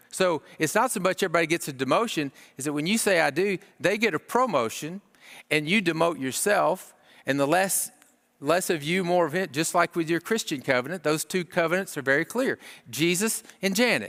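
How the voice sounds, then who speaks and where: With lively intonation and a fairly quick pace, this very clean recording has a silent background and a dry, close sound with no echo. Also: man, high pitch for a man. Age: 60s. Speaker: marriage conference speaker. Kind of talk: sermon.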